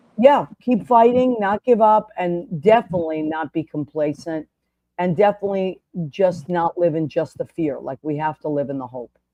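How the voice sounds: Dry and close with no echo, a woman's fairly low voice carries a dark, mellow tone, a moderate pace and ordinary pitch variation.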